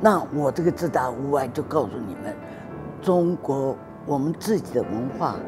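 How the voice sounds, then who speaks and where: Backed by clear music, a woman speaks at a fairly slow pace with a very deep, low pitch. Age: 70s. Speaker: calligraphy artist. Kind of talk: interview answer. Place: garden. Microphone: lapel.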